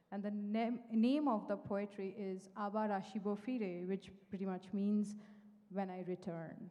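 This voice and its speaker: A woman's medium-pitched, dark and mellow voice, in a Bengali accent, at a fairly slow pace. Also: fairly even intonation. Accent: Indian English (Bengali). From India, West Bengal. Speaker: poetry performer. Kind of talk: spoken introduction.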